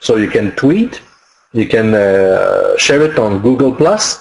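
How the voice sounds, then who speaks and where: A man with a French accent talks at a very slow pace. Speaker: online marketing webinar presenter; webinar presenter. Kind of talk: webinar tutorial. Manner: halting, many fillers. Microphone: webcam.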